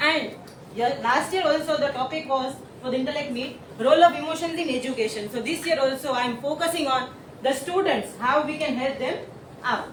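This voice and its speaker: Her voice is high-pitched, and this woman talks at a fairly quick pace with ordinary pitch variation. Audible room echo and noticeable background noise surround her. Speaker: teacher. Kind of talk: presentation.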